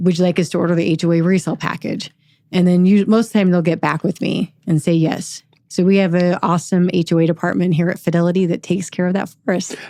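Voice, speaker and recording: At a very fast pace, a woman with a fairly low pitch talks in a monotone, flat intonation. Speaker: escrow officer. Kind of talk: interview. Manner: occasionally tongue-tied.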